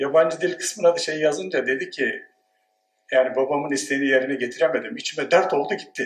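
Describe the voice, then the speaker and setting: With a normal speaking voice, the man talks at a fairly high pitch. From Turkey, Dersim. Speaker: sociology professor. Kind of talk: conference talk. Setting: conference with audience.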